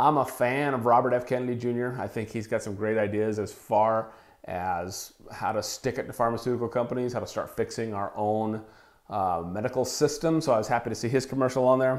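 Against a quiet background, the speech moves at a fairly quick pace. The intonation stays fairly even. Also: man. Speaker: wellness podcaster. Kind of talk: solo podcast commentary. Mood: casual, amused. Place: home room. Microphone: lapel.

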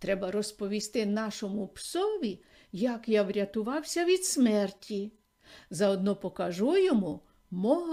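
Lively intonation in a natural reading voice.

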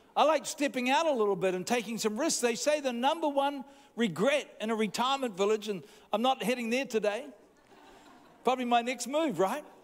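A man speaks at an extremely high pitch and a fairly quick pace. The rise and fall of his pitch is ordinary.

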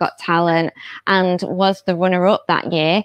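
A woman with a plain, everyday voice talks at a fairly slow pace and a medium pitch. The sound is dry with no echo, over a quiet background. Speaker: presenter. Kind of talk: casual interview. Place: studio.

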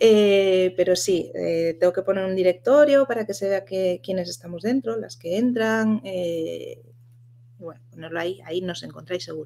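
Medium-pitched woman at a moderate pace, ordinary pitch variation and big swings in loudness, over light background noise. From Asturias, Spain. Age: 30s. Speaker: virtual assistant and community founder; podcast guest. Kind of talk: interview. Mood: relaxed, chatty. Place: home room.

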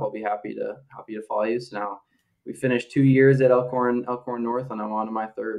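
An unremarkable speaking voice from a man, medium in pitch, with fairly even intonation and an American accent. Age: 20s. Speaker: fitness group member, data analyst. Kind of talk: podcast interview. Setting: call.

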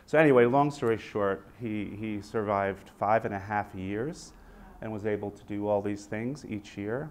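With a slightly mellow tone and ordinary pitch variation, a man talks at a moderate pace in a fairly low pitch.

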